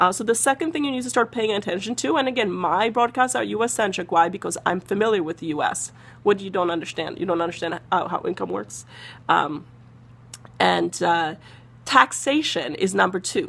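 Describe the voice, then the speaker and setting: With vocal fry and an animated tone, a woman talks fairly quickly at a medium pitch, her pitch swinging very widely. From Eastern Europe. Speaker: personal finance broadcaster. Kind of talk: live stream talk to viewers. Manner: fast.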